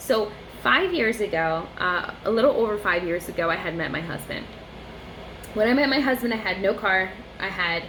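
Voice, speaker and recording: A woman talks fairly slowly in a space with audible echo and noticeable noise behind her. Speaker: vlogger. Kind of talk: casual monologue vlog. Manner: halting.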